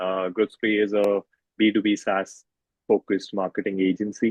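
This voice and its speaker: A man with an Indian accent and a fairly low pitch. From India (north and west). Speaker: marketing agency co-founder. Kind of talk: podcast interview.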